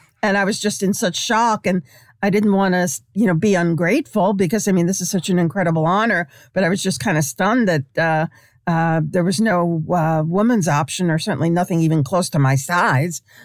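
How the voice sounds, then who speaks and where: In an unremarkable speaking voice with an American accent, a woman talks at a fairly quick pace with fairly low pitch, ordinary pitch variation and very even loudness on a very clean recording against a silent background. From New York, Brooklyn. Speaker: sports writer. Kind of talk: interview.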